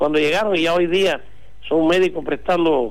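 A man's fairly high voice comes at a moderate pace, with noticeable background noise behind it. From Cuba. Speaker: doctor. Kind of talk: interview.

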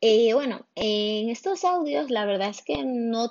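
A woman's fairly slow delivery with lively intonation. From Spain, Barcelona. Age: 20s. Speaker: podcaster. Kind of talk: casual monologue. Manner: halting.

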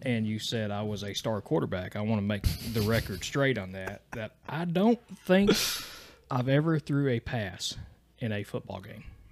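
Speaking with an Appalachian accent, a man at medium pitch moves at a moderate pace with lively intonation. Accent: Appalachian Southern US. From Eastern Kentucky. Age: 30s. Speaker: podcast guest. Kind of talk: casual chat. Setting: home studio.

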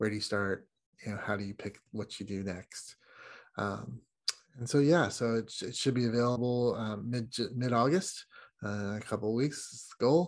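A plain, everyday voice from a man with an American accent, medium pitch and ordinary pitch variation, on a very clean recording with a silent background. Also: moderate pace. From United States. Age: 50s. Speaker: guest, traveler who took an adult gap year. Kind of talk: casual interview.

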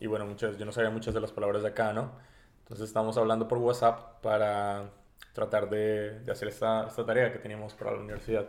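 A man speaks at medium pitch with monotone, flat intonation. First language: Spanish. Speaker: podcast co-host. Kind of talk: casual chat.

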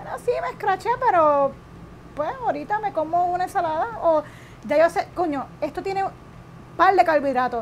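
The speech moves at a moderate pace with long, frequent pauses. Its intonation is lively. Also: woman, extremely high pitch for a woman. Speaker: keto diet cook and influencer. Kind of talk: interview.

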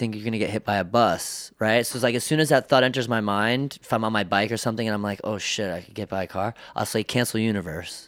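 A man at a fairly low pitch, very fast pace and fairly even intonation. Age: 20s. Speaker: tattoo artist. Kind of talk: casual chat.

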